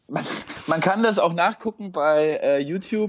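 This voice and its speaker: Here a man speaks at a moderate pace. His pitch variation is ordinary. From Stuttgart area, Swabia (Germany). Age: 30s. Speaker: football fan, podcast guest. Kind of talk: casual chat.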